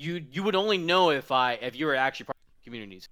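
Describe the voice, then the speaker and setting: With a bright, sharp tone and lively intonation, a man speaks at a fairly quick pace on a very clean recording with a silent background. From Mississippi. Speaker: streamer and gaming community leader. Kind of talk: casual chat. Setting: live stream voice chat.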